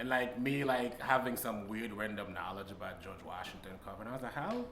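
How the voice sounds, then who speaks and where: With audible room echo and noticeable background noise, a man talks at a fairly quick pace and medium pitch, showing ordinary pitch variation and big swings in loudness. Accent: strong Haitian. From Haiti. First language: Haitian Creole and French. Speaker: stand-up comedian. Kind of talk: casual interview.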